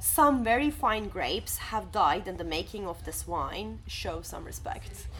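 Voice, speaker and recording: A woman at a fairly slow pace with hardly any pauses and big swings in loudness, amid audible room echo and noticeable background noise. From Turkey. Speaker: podcast co-host. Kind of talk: casual chat. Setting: cafe.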